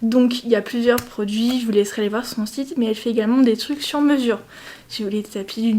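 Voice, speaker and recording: Against noticeable background noise, a woman speaks at a very fast pace with a fairly high pitch and fairly even intonation. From France. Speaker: lifestyle vlogger. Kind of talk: casual vlog. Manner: chatty, hesitant.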